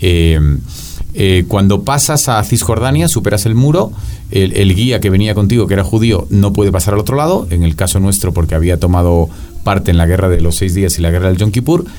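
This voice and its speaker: Over background music and audible room echo, a man with a fairly low voice talks at a fairly quick pace with very even loudness. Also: ordinary pitch variation. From Spain, Madrid. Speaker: professor. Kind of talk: casual chat.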